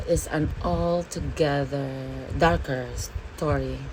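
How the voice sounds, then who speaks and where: A woman speaks at a very slow pace. The room echo is audible, and the background noise is noticeable. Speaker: makeup and bible vlogger. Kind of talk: makeup tutorial with life lessons. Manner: casual, filler-heavy (okay, like, all right).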